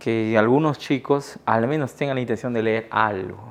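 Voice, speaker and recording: This man speaks at medium pitch with ordinary pitch variation. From Iquitos, Peru. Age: 30s. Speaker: writer and teacher. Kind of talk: interview answer.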